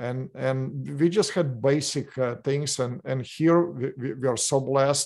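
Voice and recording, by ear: Using an unremarkable speaking voice, a man of medium pitch talks at a fairly slow pace with fairly even intonation and hardly any pauses.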